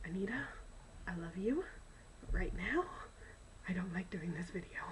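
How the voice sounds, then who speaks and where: A woman speaks quietly with ordinary pitch variation over noticeable background noise. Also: medium pitch for a woman, moderate pace. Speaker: K-pop fan vlogger. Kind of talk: casual vlog. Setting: college dorm during quiet hours. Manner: animated.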